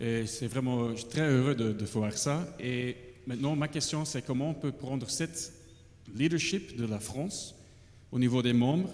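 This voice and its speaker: A man speaks fairly slowly with a non-native accent. His pitch varies in an ordinary way, and room echo is audible. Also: medium pitch for a man. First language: not French (speaking French). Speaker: international conservation director. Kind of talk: audience question at conference. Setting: conference hall with roaming mics. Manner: halting.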